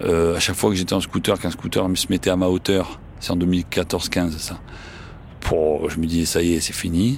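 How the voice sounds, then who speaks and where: In a Marseille accent, a man with a very deep, low pitch talks at a moderate pace with fairly even intonation. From Marseille, France. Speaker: journalist and writer. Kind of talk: interview testimony. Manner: casual, with frequent hesitations.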